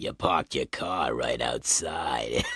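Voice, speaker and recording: In a put-on character voice, the speaker uses an extremely high pitch and a fairly slow pace. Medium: read story. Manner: blunt, commanding.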